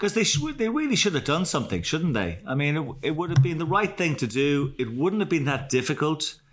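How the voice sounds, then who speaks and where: Here a man speaks with an Irish accent. His intonation is lively. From Ireland. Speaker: podcast host. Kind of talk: casual chat. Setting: video call.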